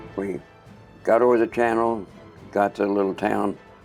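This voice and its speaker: Music plays in the background as a man speaks at a moderate pace. His fairly low voice shows ordinary pitch variation. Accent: American. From Kansas City. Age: 80s+. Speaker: war veteran pilot. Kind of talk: interview answer.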